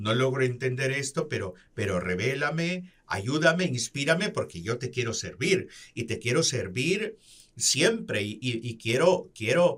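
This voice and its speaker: Speaking at a very slow pace, a man's voice moves in very wide pitch swings. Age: 60s. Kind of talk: religious reflection.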